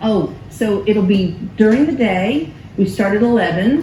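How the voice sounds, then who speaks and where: Amid noticeable background noise and audible room echo, a woman speaks at a medium pitch with lively intonation. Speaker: pastor. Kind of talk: cookery workshop announcements. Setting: church sanctuary with live audience.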